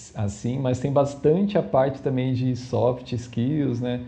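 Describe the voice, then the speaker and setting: Audible room echo surrounds a man whose dark, mellow, somewhat breathy voice keeps a fairly even intonation. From Brazil, São Paulo city. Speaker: data scientist. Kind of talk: casual interview. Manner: hesitant, many fillers.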